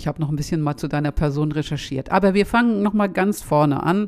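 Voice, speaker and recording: A woman speaks with a very deep, low pitch. She keeps a fairly quick pace and ordinary pitch variation. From Schleswig-Holstein, northern Germany. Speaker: podcast host, academic. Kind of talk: interview conversation.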